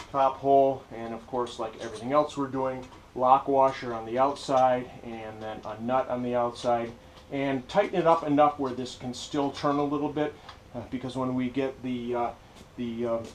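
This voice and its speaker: A man's fairly even intonation and moderate pace come through light background noise. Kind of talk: tutorial. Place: workshop. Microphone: camera far.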